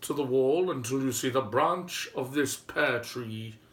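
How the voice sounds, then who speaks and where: A man's put-on character voice at medium pitch. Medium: read story.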